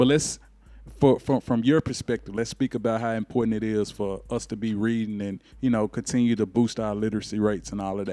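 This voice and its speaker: A man with a Memphis accent speaks at a fairly quick pace and medium pitch, his tone dark and mellow and his intonation fairly even, on a very clean recording with a silent background. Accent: Southern US, Memphis. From US South, Memphis. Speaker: talk show host. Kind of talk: interview.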